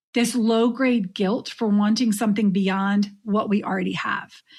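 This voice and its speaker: A somewhat breathy woman with a fairly high pitch and monotone, flat intonation at a fairly slow pace, on a very clean recording with a silent background. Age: middle-aged. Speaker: podcast host, coach for midlife women. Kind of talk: solo podcast monologue.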